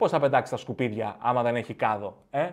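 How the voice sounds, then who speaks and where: A man talks at a moderate speed, his pitch varying in an ordinary way, with a quiet background behind him. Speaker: comedian podcast host. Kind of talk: stand-up comedy routine. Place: home room. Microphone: studio mic.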